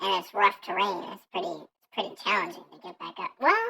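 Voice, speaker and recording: A put-on character voice at a middle pitch and fairly quick pace. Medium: actual play.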